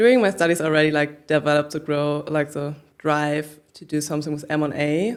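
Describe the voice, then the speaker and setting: A woman speaks at a very fast pace with a German accent. Her pitch is very deep and low. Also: ordinary pitch variation. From northern Germany, Hamburg. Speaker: business founder. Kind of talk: interview.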